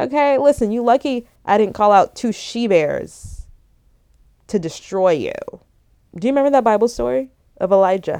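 Long, frequent pauses and lively intonation from a woman with a dark, mellow tone. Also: moderate pace. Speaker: podcaster. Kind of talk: casual faith monologue. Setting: at home in bed. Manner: hyper, rambling.

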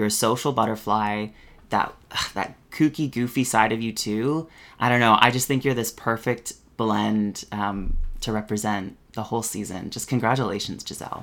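A Canadian accent at a moderate pace, on a very clean recording with a silent background. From Canada. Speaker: drag queen podcast co-host. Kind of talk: casual chat; interview. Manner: animated.

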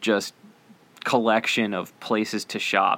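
Monotone, flat delivery at a very slow pace. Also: man. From northern Kentucky, Cincinnati area. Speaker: podcast host, hiking and parks reviewer. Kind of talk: solo podcast monologue.

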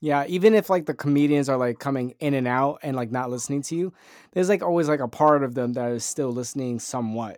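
The speaker talks at a very fast pace in a very clean recording with a silent background. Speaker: podcast co-host. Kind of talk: casual comedy podcast chat. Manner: loud, close to the mic.

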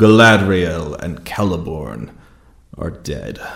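Speaking at a very slow pace, a man uses a very deep, low pitch. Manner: menacing, cruel, gloating.

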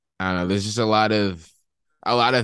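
A speaker with an American accent. The background is quiet. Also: man. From US, Washington DC area. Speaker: musician. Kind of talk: casual chat.

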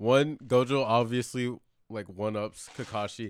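A man with an unremarkable speaking voice talks at a fairly slow pace in a medium pitch with fairly even intonation, in a very clean recording with a silent background. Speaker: podcast guest. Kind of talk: casual chat.

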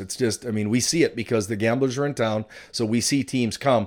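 A man with a western Canadian accent talks at a fairly quick pace in a medium pitch, his intonation fairly even, on a very clean recording with a silent background. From western Canada, British Columbia. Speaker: college hockey coach. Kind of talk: interview. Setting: studio.

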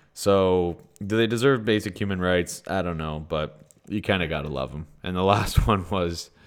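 A man with a Canadian accent and a very deep, low pitch, on a very clean recording with a silent background. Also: ordinary pitch variation, moderate pace. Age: 20s. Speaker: podcast host. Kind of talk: casual chat.

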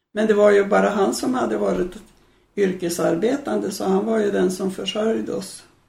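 Room echo is audible as the woman speaks at a moderate pace. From Sweden, Medelpad (central Norrland inland). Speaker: retired adult education organiser. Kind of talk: interview, life story.

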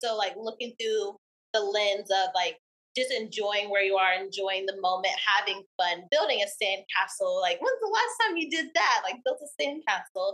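A woman with a normal speaking voice and a medium pitch talks at a moderate pace, her pitch varying in an ordinary way. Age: 20s. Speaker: small business owner. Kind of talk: casual interview.

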